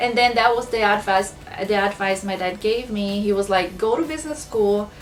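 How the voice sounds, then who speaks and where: A woman talks with fairly even intonation in a Brazilian accent. Music plays in the background. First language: Portuguese. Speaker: small business owner, planner shop. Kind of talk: casual talk to camera. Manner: slow.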